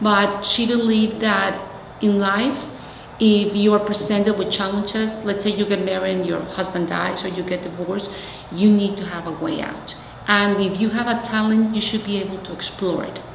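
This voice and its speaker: A woman with a Mexican accent speaks at a moderate pace in a flat monotone. Room echo and noticeable background noise are both audible. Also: medium pitch for a woman. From Mexico City, Mexico. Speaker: community organizer. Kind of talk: oral history interview.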